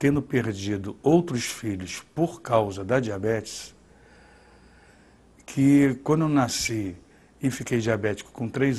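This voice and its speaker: This man's medium-pitched voice moves fairly slowly, its pitch varying in an ordinary way. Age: 50s. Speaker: documentary interviewee. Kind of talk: testimony. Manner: halting.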